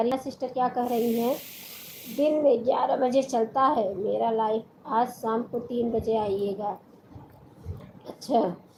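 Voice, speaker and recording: Noticeable background noise sits behind a woman with a high pitch. She speaks at a fairly slow pace with ordinary pitch variation. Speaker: folk singer and live streamer. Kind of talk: casual live-stream chat.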